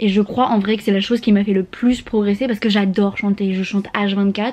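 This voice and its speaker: A woman speaks quietly at a moderate pace, with noticeable background noise behind her. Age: 20s. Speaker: au pair and vlogger. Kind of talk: casual vlog tips. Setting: lying on her bed at home. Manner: casual slangy.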